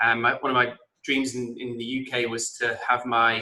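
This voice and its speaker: A man's bright, sharp voice at medium pitch, monotone and flat in intonation, with an English accent. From England (Blackpool). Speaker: entrepreneur and author. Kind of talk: interview.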